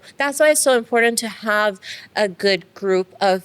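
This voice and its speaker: Over noticeable background noise, a woman at medium pitch speaks with lively intonation and an Iranian accent. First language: Farsi. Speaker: dentist and business owner. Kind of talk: interview. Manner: hesitant, many fillers.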